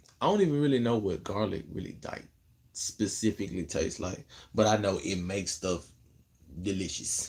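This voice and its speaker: A relaxed, somewhat breathy male voice with an American accent, fairly low in pitch, at a moderate pace with long, frequent pauses and big swings in loudness. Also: ordinary pitch variation. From Memphis, Tennessee (US South); Tennessee. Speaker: content creator / livestreamer; live streamer. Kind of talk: casual livestream chat answering viewer comments. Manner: laid-back, relaxed. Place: home room. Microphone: phone near.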